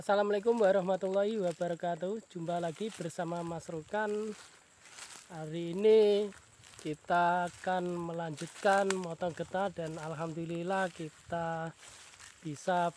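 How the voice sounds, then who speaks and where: In a dry recording with no echo, a man with a high pitch speaks fairly slowly and with fairly even intonation. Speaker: rubber tapper vlogger. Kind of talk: casual vlog chat. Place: forest. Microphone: phone near.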